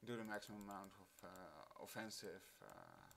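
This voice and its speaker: The speaker has a non-native accent and talks at a very slow pace. The intonation stays fairly even. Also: man. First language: not English. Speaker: gaming video creator. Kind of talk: tutorial. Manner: halting, many fillers.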